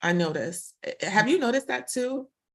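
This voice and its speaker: A woman speaks with a Brooklyn accent. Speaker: tech professional guest. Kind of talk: casual interview conversation.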